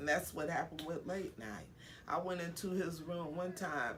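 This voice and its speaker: A woman with an American accent speaks in a fairly low pitch. Audible room echo surrounds her voice. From San Francisco, California. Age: 60s. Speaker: homeless outreach worker. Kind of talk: interview.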